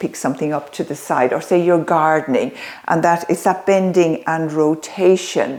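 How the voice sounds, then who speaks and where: A woman speaks at a moderate pace in a fairly low pitch, her tone dark and mellow. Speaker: yoga and senior fitness instructor. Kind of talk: exercise tutorial. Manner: calm yoga teaching voice.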